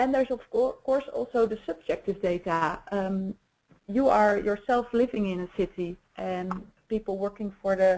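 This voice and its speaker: The woman's voice sits at a medium pitch with ordinary pitch variation. Her tone is dark and mellow. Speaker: traffic management expert presenter. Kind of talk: webinar presentation. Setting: webinar. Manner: fast; hesitant, many fillers.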